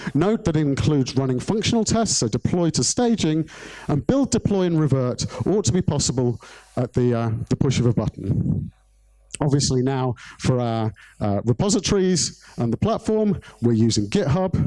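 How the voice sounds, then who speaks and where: A man's dark, mellow voice with very wide pitch swings, very even loudness, a moderate pace, and a dry, close sound free of echo. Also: fairly high pitch for a man. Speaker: conference speaker, software developer. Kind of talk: conference talk.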